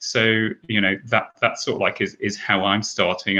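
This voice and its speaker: This man speaks with a British accent. His pitch is fairly low. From Britain. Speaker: advertising executive. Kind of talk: panel discussion.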